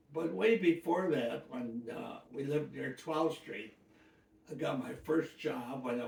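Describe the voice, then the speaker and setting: A man with an American accent speaks with vocal fry and a fairly high pitch. His pace is fairly slow. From US Midwest, Detroit. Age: 90s. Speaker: elderly interviewee. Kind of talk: life-story interview. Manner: halting.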